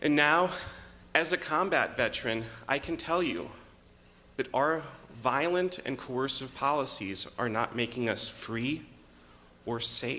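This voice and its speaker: A man's fairly high voice, fairly slow, with ordinary pitch variation and long, frequent pauses. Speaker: political candidate. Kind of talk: debate opening statement. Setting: stage with audience in a church.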